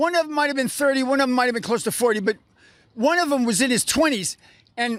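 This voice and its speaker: A man talks at a very fast pace in an extremely high pitch, his tone bright, sharp and animated. His pitch varies in an ordinary way, on a very clean recording with a silent background. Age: 60s. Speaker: protester at a convention. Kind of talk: street interview. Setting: outdoors.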